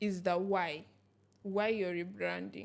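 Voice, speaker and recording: A woman talks in a medium pitch. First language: Arabic. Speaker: podcast co-host. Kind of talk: casual chat.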